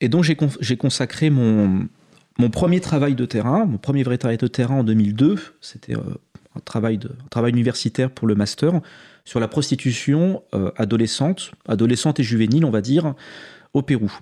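Ordinary pitch variation in a man's dark, mellow voice. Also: medium pitch for a man, moderate pace. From France, Haute-Savoie. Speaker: sociologist. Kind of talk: interview. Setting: studio.

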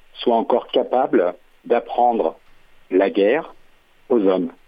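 This is a man's voice. It sits at a medium pitch. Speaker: caller, former conscript. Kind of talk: radio phone-in.

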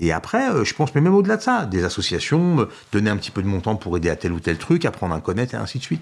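Very rapid male speech with extremely broad swings in pitch. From Algeria. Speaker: community association director. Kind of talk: casual interview. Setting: studio. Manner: halting, repeats words.

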